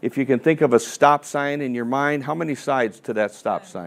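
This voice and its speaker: A man speaks at a fairly quick pace and fairly high pitch, with ordinary pitch variation. He has a plain, everyday voice. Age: 60s. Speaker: financial advisor and seminar presenter. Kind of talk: seminar presentation. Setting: seminar room with live audience. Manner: conversational, interactive.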